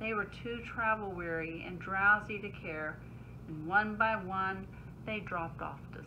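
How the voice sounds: Pitch shifts by an ordinary amount. The delivery is a natural reading voice.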